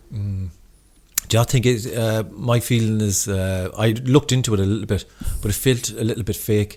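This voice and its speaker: A man with a slight Irish accent and a fairly low pitch talks at a moderate pace with fairly even intonation. Noticeable background noise runs behind him. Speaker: podcast host. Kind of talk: casual interview chat. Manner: clear careful pronunciation.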